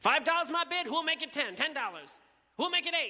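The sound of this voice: Putting on a character voice, a man speaks at an extremely high pitch with big pitch swings, a bright, sharp tone and a fairly quick pace.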